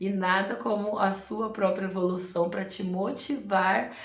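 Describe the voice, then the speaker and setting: A woman talks at a fairly slow pace. The recording carries audible room echo and noticeable background noise. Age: 40s. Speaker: amateur runner and vlogger. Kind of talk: casual advice talk to camera. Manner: conversational, frequent filler 'né'.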